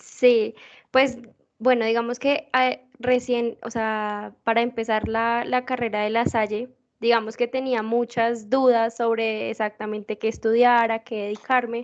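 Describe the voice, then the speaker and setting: A woman's fairly high, monotone, flat voice at a fairly slow pace over a quiet background. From Colombia, Bogotá. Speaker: student. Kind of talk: self-introduction.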